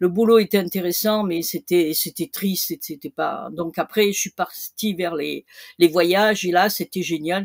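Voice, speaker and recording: A woman's medium-pitched, unremarkable speaking voice at a fairly slow pace, fairly even in intonation, with a dry, close sound and no echo. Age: 60s. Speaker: retired e-commerce seller. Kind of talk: interview. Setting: podcast.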